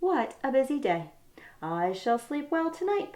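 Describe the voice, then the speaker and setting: Putting on a character voice, a woman speaks high and at a moderate pace, her pitch swinging very widely. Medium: read story. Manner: fretful, worried.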